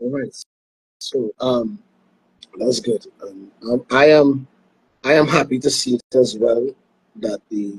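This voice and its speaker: Speaking with a Trinidadian accent, a man uses a medium pitch, ordinary pitch variation and a somewhat breathy voice at a very slow pace, with long, frequent pauses and a dry, close sound with no echo. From Trinidad and Tobago. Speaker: sports show host. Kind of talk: interview. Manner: halting.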